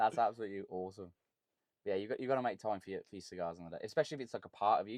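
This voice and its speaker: A man talks at a very fast pace in a fairly low voice with ordinary pitch variation. His loudness swings widely. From England, Birmingham. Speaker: content creator and cigar enthusiast. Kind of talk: casual chat.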